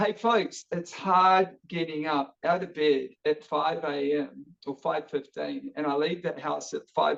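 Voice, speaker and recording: Speaking with a New Zealand accent, a man with a fairly high pitch talks at a fairly slow pace with ordinary pitch variation and hardly any pauses. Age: 50s. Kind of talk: casual interview chat. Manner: energetic.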